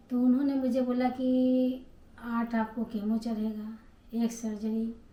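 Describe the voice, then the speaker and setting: A woman's fairly high voice carries a dark, mellow tone and a flat, monotone intonation. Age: 60s. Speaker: cancer survivor vlogger. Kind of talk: personal testimony.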